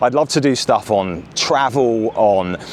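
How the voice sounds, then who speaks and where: A man with an English accent speaks in a medium pitch with lively intonation over noticeable background noise. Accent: English, mostly retained. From southern England, Bournemouth. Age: 40s. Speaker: vlogger. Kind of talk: casual vlog talk to camera. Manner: hesitant, many fillers.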